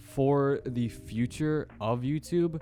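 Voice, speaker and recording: With music in the background, a man speaks at a very slow pace and with lively intonation. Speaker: small YouTuber. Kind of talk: casual opinion talk to camera. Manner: stuttering, hesitant.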